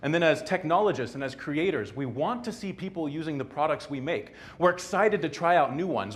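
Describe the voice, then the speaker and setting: Audible room echo surrounds a man who talks at a very fast pace in a fairly high pitch. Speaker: technologist giving a short talk. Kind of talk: short conference talk. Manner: hesitant, many fillers.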